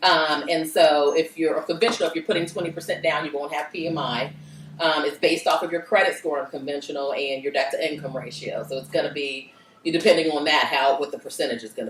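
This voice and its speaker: The speech comes at a very fast pace. Noticeable background noise sits behind it. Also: woman. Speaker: mortgage lender. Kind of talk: workshop Q&A.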